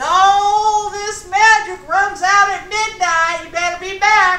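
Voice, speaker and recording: This is a put-on character voice at a fairly slow pace. A slight echo can be heard. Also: woman, extremely high pitch for a woman. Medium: read story.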